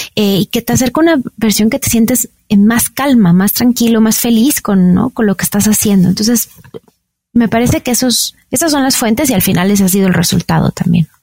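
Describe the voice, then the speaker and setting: In a Mexican accent, a woman speaks at a fairly quick pace and fairly high pitch, her tone dark and mellow, somewhat breathy, with very even loudness. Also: ordinary pitch variation, dry, close sound with no echo. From Mexico. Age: 40s. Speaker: wellness entrepreneur and health coach. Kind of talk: interview conversation.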